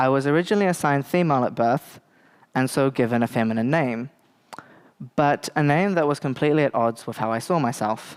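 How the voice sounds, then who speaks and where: The speaker has a New Zealand accent, a fairly quick pace and long, frequent pauses. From New Zealand, Bay of Plenty (Te Puke). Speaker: lecturer on intersex topics. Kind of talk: lecture. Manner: hesitant, many filler words.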